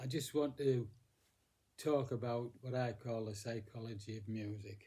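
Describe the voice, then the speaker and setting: A man talks at a moderate pace with a medium pitch and fairly even intonation. His voice is somewhat breathy, with a dark, mellow tone. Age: 80s+. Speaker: music teacher. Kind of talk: casual talk. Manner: halting.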